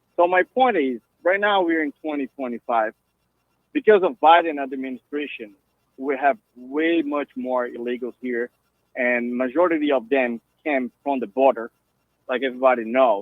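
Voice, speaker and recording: A man talks at a moderate pace in a Brazilian Portuguese accent. His pitch is medium, with ordinary variation. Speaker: caller. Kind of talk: call-in radio conversation.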